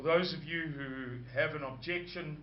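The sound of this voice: With audible room echo, a man talks at a fairly slow pace in a fairly high pitch, using ordinary pitch variation.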